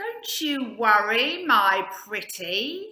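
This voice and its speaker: The voice is female-sounding and put on as a character. It sits at a high pitch. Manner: nice, sweet.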